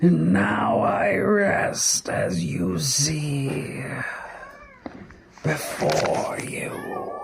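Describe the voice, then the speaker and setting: Growling in a put-on character voice at a medium pitch, a man speaks very slowly with long, frequent pauses over clear background noise. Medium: read story. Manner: melancholy, slow storytelling.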